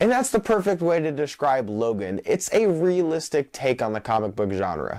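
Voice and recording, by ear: A man talks at a moderate pace with a slightly mellow tone. His intonation is lively.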